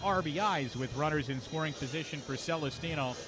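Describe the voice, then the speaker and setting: A man with a fairly high voice speaks at a moderate pace over music in the background. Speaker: baseball radio play-by-play announcer. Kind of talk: baseball radio play-by-play call.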